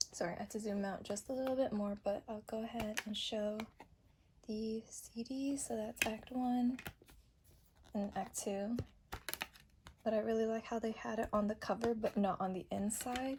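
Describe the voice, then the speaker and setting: A woman at a moderate pace and a fairly high pitch, with fairly even intonation, long, frequent pauses and noticeable background noise. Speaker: kpop album haul youtuber. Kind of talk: unboxing video. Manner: casual, chatty.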